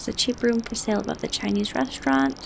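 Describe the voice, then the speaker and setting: Through noticeable background noise, a soft-spoken woman can be heard. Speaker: gaming sleep content creator. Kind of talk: sleep-aid gameplay commentary.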